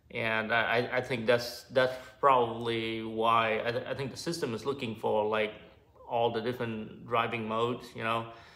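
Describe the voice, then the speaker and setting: With a monotone, flat intonation, a man delivers his words at a moderate pace. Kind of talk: casual vlog chat. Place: garage. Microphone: phone near.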